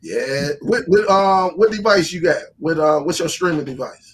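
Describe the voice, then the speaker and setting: In an animated tone, a man speaks at a high pitch with ordinary pitch variation. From Alabama, Gadsden. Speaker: live stream host, streaming tech channel. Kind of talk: casual live-stream chat.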